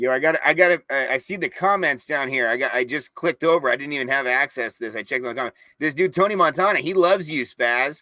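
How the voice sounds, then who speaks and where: A bright, sharp voice races at a very fast pace with hardly any pauses and ordinary pitch variation, sounding dry and close with no echo. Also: man, fairly high pitch for a man. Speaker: sports podcast guest. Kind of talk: casual sports chat. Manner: animated.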